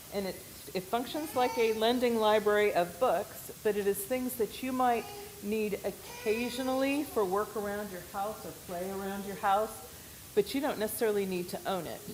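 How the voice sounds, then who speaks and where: At a moderate pace and with ordinary pitch variation, the voice carries an American accent over noticeable background noise. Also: woman, fairly high pitch for a woman. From US West, Oregon. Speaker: missionary. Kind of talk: church presentation.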